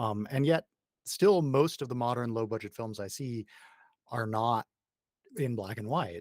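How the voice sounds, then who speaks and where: The speaker has an American accent and lively intonation at a moderate pace. The recording is very clean, dry and close, with no echo and a silent background. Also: man. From United States. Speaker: podcast host. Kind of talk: interview.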